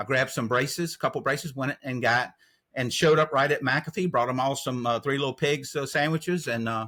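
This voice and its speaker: Speaking with a North Carolina accent, a man moves at a fairly quick pace in a medium-pitched, bright, sharp tone with ordinary pitch variation. The recording is very clean, with a silent background. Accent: US Southern (North Carolina). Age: 60s. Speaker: trail angel. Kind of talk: interview.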